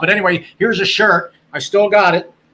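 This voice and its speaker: A man with an American accent speaks at a moderate pace in a raised, projected voice. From Delaware County, Pennsylvania. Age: 60s. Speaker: former radio sports announcer. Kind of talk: casual chat. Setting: live stream podcast. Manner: animated.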